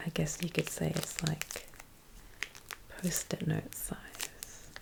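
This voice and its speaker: Whispering in a gentle tone, a woman speaks at a very slow pace against noticeable background noise. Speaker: ASMR creator. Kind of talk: ASMR unpacking commentary. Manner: soft-spoken, slow, gentle.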